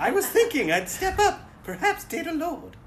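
Over clear background noise, a put-on character voice in an extremely high pitch moves at a moderate pace with a sing-song lilt. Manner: princessy, sing-song.

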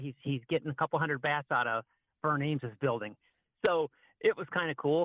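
This man has an unremarkable speaking voice with ordinary pitch variation. He talks at a fairly quick pace. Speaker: wildlife control guest, bat removal. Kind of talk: casual interview chat, storytelling.

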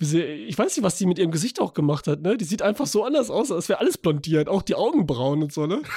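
The voice races at a very fast pace with hardly any pauses and very wide pitch swings. Its tone is animated. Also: man, high pitch for a man. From Calabria, Italy. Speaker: film podcaster. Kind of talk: casual chat.

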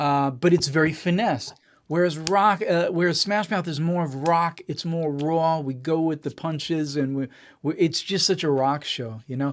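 In an American accent, a man with an ordinary speaking voice talks at a moderate pace and fairly high pitch with ordinary pitch variation, on a very clean recording with a silent background. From Israel. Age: 40s. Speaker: musician and producer. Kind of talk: casual interview.

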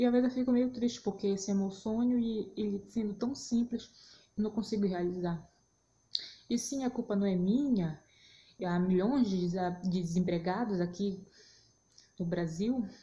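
With a dark, mellow, somewhat breathy tone, a woman of medium pitch speaks at a moderate pace, with ordinary pitch variation and long, frequent pauses. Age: 20s. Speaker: podcaster, journalist. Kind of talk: casual solo monologue. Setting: at home, recording on phone at 4am. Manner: unscripted, rambling. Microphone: phone recording.

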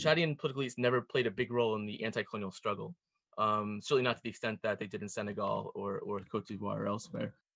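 Over a quiet background, a man with an American accent speaks in a bright, sharp tone. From US, Pennsylvania. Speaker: historian. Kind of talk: interview. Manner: hesitant, many fillers.

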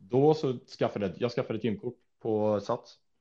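A man with a dark, mellow tone moves at a fairly quick pace, with a quiet background behind him. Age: 20s. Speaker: fitness influencer and student. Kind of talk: casual chat.

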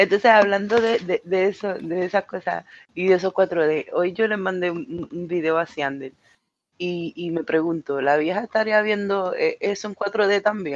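A woman speaks at a fairly slow pace and medium pitch in a Puerto Rican accent, with ordinary pitch variation. The sound is dry and close with no echo, over a quiet background. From Puerto Rico, Mayagüez. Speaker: podcast co-host. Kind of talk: casual chat.

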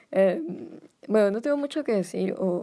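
A woman's dark, mellow tone comes through at a fairly slow pace. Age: 20s. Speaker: podcast host. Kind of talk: casual monologue. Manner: hesitant.

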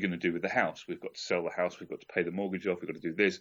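A man speaks with an English accent. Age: 40s. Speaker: podcast guest. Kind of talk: casual chat.

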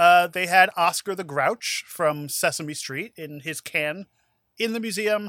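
On a very clean recording with a silent background, a man speaks at a fairly slow pace in a high pitch, his bright, sharp, playful tone showing big swings in loudness and ordinary pitch variation. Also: dry, close sound with no echo. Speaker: podcast host and judge. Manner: joking, playful.

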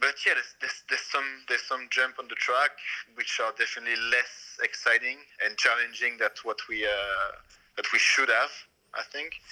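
The pace here is moderate. This voice carries a French accent. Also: man. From France. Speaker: BMX racer. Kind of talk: casual interview. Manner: halting, repeats words.

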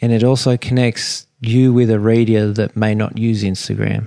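With an Australian accent, a man speaks at a moderate pace in a dry, close sound with no echo and a quiet background. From Sydney, Australia. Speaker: fishing guide. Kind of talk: interview. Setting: in a home.

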